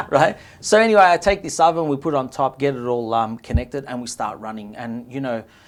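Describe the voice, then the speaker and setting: A man with an Australian accent talks at a very fast pace in a medium pitch, his intonation lively, on a very clean recording with a silent background. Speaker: restaurant owner, pizza maker. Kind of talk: interview.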